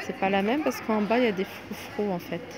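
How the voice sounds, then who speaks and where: The speech moves at a moderate pace with ordinary pitch variation, the sound dry with no echo and noticeable background noise behind it. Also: woman. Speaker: shopping vlogger. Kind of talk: casual vlog chat. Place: shop. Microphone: phone near.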